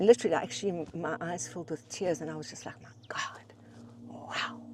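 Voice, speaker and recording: A woman speaks at a moderate pace with long, frequent pauses. Her loudness swings a lot, and background noise is noticeable. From South Africa. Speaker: writer and writing teacher. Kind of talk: casual conversation. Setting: outdoors on a hike. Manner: animated; halting, many repetitions.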